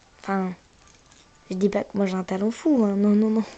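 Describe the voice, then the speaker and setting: Noticeable background noise sits behind a woman speaking at medium pitch with fairly even intonation. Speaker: gaming youtuber. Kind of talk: casual gameplay commentary.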